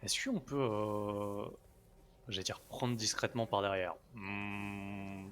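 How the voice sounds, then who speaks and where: A soft-spoken man's fairly low, monotone, flat voice, at a very slow pace with long, frequent pauses. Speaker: gaming streamer. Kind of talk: live gameplay commentary. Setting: live stream. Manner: soft-spoken, talking quietly.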